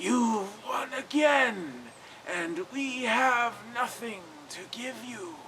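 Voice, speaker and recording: Using a put-on character voice pitched extremely high, a man talks very slowly over clear background noise. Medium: read story.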